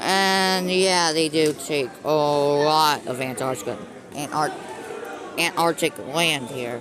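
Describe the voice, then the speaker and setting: Over crowd noise in the background, the speaker goes at a very slow pace. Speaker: mapping video narrator. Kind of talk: video commentary. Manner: stutters, halting; casual, filler-heavy.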